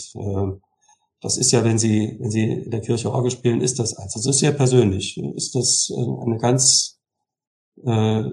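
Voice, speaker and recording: At a fairly slow pace, a man talks in a somewhat breathy voice. His pitch is medium, with ordinary variation. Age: 60s. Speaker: music school director and church organist. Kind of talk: interview.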